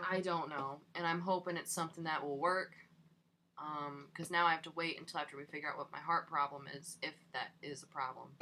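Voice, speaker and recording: A quiet woman's voice, very deep and low in pitch, bright and sharp in tone, with long, frequent pauses. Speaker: podcast co-host. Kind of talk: casual chat. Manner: soft-spoken. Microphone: too quiet on recording.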